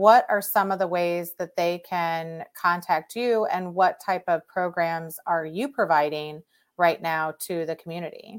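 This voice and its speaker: A woman with an American accent speaks fairly slowly, with hardly any pauses and fairly even intonation. Hers is an unremarkable speaking voice on a very clean recording with a silent background. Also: fairly low pitch for a woman. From St. Louis, Missouri. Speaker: podcast host and divorce mediator. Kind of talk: interview conversation.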